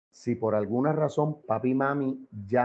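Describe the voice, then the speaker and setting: With a Puerto Rican accent, a man speaks at a medium pitch with lively intonation. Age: 60s. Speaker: political commentator. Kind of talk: interview. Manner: animated.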